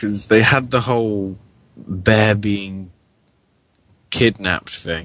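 Very slowly and with long, frequent pauses, a man speaks in a British accent at a fairly low pitch with fairly even intonation. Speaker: podcast co-host. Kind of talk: casual live chat.

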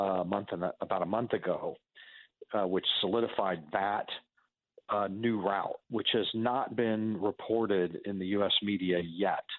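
A man with a plain, everyday voice, fairly low in pitch, at a fairly slow pace and very even loudness. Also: fairly even intonation. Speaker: interviewee on border issues. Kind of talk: radio interview.

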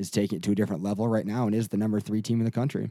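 The speaker is a man with an American accent, talking at a very fast pace. His voice sits at a fairly low pitch with a dark, mellow tone. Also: very clean recording, silent background. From Michigan. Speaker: sportswriter. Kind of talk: casual chat.

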